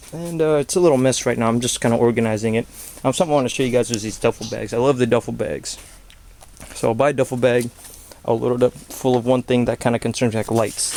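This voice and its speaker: The speech moves at a very fast pace. Background noise is noticeable throughout. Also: man, medium pitch for a man, ordinary pitch variation. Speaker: prepper. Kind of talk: casual talk to camera.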